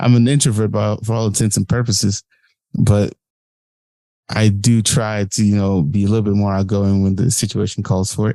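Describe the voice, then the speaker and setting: Mumbling from a man at fairly low pitch, dark and mellow in tone, with fairly even intonation and a moderate pace. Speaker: podcast editor and guest. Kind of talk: casual interview chat. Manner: mumbles, runs words together.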